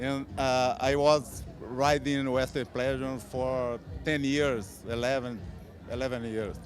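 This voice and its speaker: Here a man with a non-native accent talks at a medium pitch. He goes very slowly, with fairly even intonation. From Brazil. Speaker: horse breeder. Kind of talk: interview. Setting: horse show. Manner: halting.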